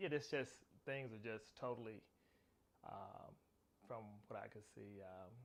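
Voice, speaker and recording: Speaking at a medium pitch with ordinary pitch variation, a man with an American accent goes at a fairly slow pace, with long, frequent pauses and big swings in loudness. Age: 50s. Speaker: interviewee. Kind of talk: interview. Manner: halting.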